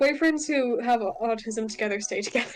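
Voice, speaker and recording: Over music in the background, a woman talks at a fairly quick pace with lively intonation. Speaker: streamer. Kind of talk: casual chat.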